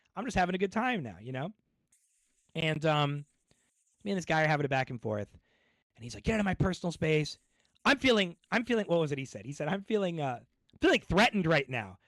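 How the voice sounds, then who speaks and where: Loud and animated, a man talks at a very fast pace with lively intonation in a dry, close sound with no echo. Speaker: streamer. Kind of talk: casual chat. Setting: live stream.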